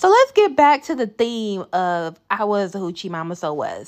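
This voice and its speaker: A woman with an American accent speaks at a moderate pace and a medium pitch, her pitch swinging very widely, on a very clean recording with a silent background. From US South. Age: 30s. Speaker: podcast host. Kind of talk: solo casual monologue.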